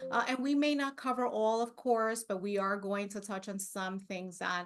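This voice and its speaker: A woman with a non-native accent speaks at a fairly high pitch and a moderate pace, with fairly even intonation. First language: not English. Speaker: librarian. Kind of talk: conference presentation. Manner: halting.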